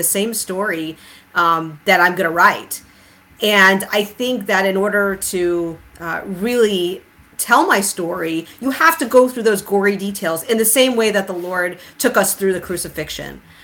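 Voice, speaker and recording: With a bright, sharp tone, a woman speaks at an average speed. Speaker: podcast host and author. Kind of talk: casual discussion on theology. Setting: online livestream. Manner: laughs often.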